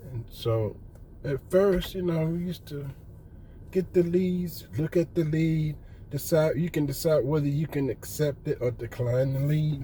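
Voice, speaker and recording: Over noticeable background noise, a man with an American accent speaks at a fairly slow pace, with a fairly high pitch and ordinary pitch variation. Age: 60s. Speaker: retired appliance repairman, vlogger. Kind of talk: casual monologue vlog.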